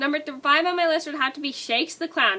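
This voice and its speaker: A woman's high-pitched voice comes through raised and projected. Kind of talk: casual talk to camera.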